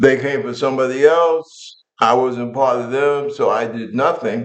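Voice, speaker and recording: A man speaks at a medium pitch and a fairly slow pace. There is audible echo from the room. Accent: New York. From New York. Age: 70s. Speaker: military veteran and talk show host. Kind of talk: political commentary monologue. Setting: living room. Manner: animated.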